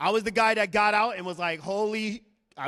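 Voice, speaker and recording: Loud and animated, a man speaks in an American accent. His tone is bright and sharp, and his pace moderate. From New York City (Bronx), raised from age eight in Arizona. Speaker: Marine veteran and fitness business owner. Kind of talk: motivational talk. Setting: stage with audience. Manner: high-energy, animated.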